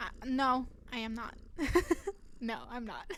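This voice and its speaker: Speaking at a very slow pace, a woman with a high pitch and ordinary pitch variation is heard with audible room echo. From Germany. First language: German. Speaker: streamer. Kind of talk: casual chat. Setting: live stream. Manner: animated.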